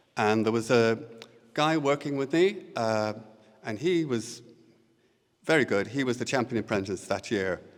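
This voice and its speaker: A man with an Irish accent speaks at a moderate pace with long, frequent pauses. His pitch is medium and his intonation lively. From Ireland, Co. Louth. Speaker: poet. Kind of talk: poetry reading. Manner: hesitant.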